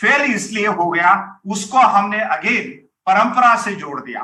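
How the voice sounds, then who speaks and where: A man speaks in a raised, projected voice, high in pitch with ordinary pitch variation. His tone is bright and sharp. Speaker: university vice-chancellor, Hindi professor. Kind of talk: formal speech at academic launch event. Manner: halting, with fillers.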